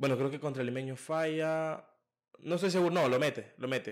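Against a quiet background, a man is speaking. His pace is moderate. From El Salvador. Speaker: podcast host. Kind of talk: casual interview. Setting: studio. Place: home room. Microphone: studio mic.

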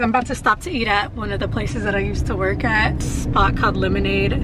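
A woman talks at a fairly quick pace. The sound is dry with no echo, though loud background noise is present. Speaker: vlogger. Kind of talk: casual vlog chat. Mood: relaxed, amused. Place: car. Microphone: camera far.

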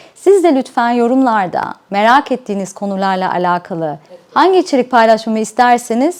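A woman with a slight non-native accent speaks at a moderate pace. Her fairly high voice has lively intonation. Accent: slight non-native Turkish. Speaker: life coach, YouTuber. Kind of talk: channel introduction.

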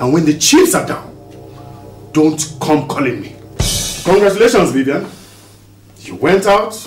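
Over faint music and audible room echo, a man with a high pitch speaks at a moderate pace. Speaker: actor playing a family elder. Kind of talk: dramatic scripted dialogue. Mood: stern, disappointed, firm. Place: home room.

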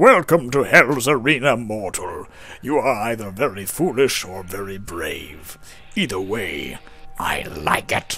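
Putting on a character voice, a man booms at medium pitch and a fairly slow pace over clear background noise. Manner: menacing, booming.

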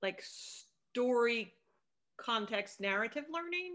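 A high-pitched woman with a Northeastern American accent, a bright, sharp tone, and lively intonation, over a quiet background. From New Jersey. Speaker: podcast host. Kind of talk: casual chat. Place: home room. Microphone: video call.

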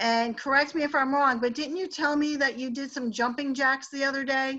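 A woman speaks in a raised, projected voice, high in pitch and bright, sharp in tone. Her intonation is fairly even, her pace moderate, and the background quiet. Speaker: host interviewing a product user. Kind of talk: host of a group call. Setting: phone line. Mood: enthusiastic, upbeat. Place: home room. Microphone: webcam.

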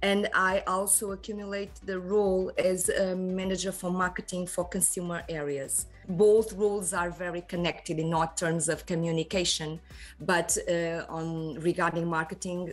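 A woman's monotone, flat delivery at a moderate pace, with faint music in the background. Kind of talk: interview answer. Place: office. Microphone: video call.

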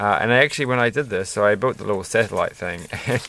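A man's voice with ordinary pitch variation and a dry sound with no echo. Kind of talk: casual build commentary.

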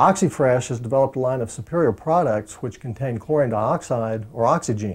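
Against a quiet background, a man speaks at a fairly quick pace with ordinary pitch variation. His tone is dark and mellow, and his voice is somewhat breathy. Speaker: dentist. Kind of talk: infomercial presentation.

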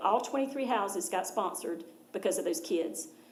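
A woman with an American accent at a fairly quick pace and ordinary pitch variation, amid audible room echo and noticeable background noise. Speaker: nonprofit charity representative. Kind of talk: presentation to a school board. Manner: fast.

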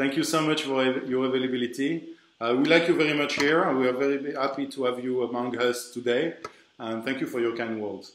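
Amid light background noise and audible room echo, a man talks at a fairly quick pace with fairly even intonation. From France. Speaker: event organizer. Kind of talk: interview. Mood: warm, welcoming. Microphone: video call.

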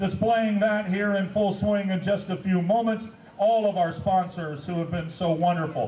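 High-pitched male voice at a moderate pace, fairly even intonation, audible room echo and light background noise. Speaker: event host. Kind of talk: event announcement. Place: open country.

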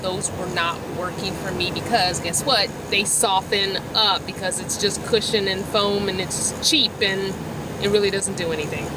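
Over loud background noise, a woman speaks at a moderate pace, her sound dry with no echo. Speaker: van dweller vlogger. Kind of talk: casual product review. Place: car. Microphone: phone near.

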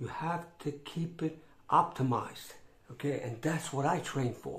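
A man speaks at a fairly slow pace, somewhat breathy, with ordinary pitch variation. Audible room echo surrounds him. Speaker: fitness vlogger. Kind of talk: casual vlog chat. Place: home room. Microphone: phone near.

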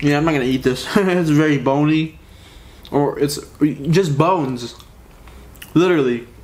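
A man's pitch varies in an ordinary way while he talks at a moderate pace. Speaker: food vlogger. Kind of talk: casual eating vlog chat. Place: home room.

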